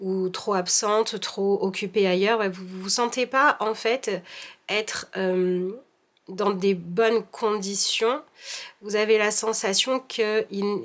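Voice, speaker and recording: Fairly even intonation carries speech delivered at a very slow pace. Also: woman. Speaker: tarot reader. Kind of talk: tarot reading. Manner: monotone.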